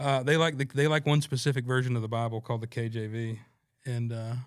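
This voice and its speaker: This man talks at a very fast pace in a Southern US accent. His pitch is medium and his intonation fairly even. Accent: Southern US accent, noticeable. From North Carolina, Stokes County (US South). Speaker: singer-songwriter. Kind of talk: casual chat. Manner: halting, many fillers.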